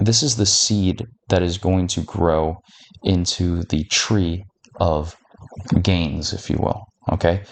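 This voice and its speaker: Quietly and at a very slow pace, a man with a very deep, low voice speaks with ordinary pitch variation and long, frequent pauses. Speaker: fitness content creator. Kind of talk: tutorial. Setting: at home at night. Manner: quiet, close to mic. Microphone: mic very close to face.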